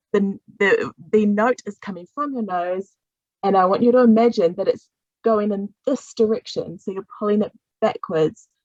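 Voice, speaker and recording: A woman speaks at a moderate pace with ordinary pitch variation, her sound dry and close with no echo. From New Zealand. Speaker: singing teacher. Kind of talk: voice workshop instruction.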